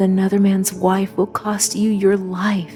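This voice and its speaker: With music in the background, a woman speaks in a monotone, flat way. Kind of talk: scripture reading. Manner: clear, contemporary delivery.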